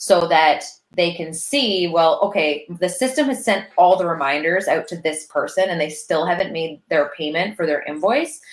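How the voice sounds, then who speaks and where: A woman has an ordinary speaking voice at a fairly low pitch, talking at a moderate pace with ordinary pitch variation and hardly any pauses. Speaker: business consultant, online business manager. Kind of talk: live stream tutorial. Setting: live video stream.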